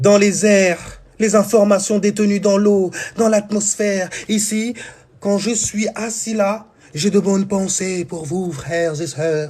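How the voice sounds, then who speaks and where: A man's high pitch at a very slow pace, fairly even in intonation, over noticeable background noise. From France, Seine-Saint-Denis (Paris suburbs). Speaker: spiritual teacher. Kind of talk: spiritual talk. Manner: casual.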